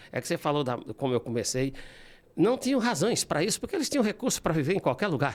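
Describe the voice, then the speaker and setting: A man speaks at a high pitch and a very fast pace with very wide pitch swings, in a very clean recording with a silent background. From São Paulo, Brazil (born in Ceará, moved at 7). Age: 60s. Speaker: classical guitarist and composer. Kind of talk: interview. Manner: halting.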